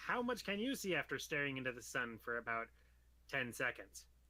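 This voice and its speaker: A man uses a put-on character voice. His pitch sits in the medium range. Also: fairly quick pace. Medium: actual play. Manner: earnest, quirky reasoning.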